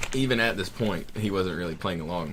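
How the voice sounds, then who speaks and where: A man with a slight Southern US accent talks at a very fast pace with lively intonation, and audible room echo surrounds his voice. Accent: Southern US accent, mild. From US South. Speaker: gamer. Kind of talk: casual chat.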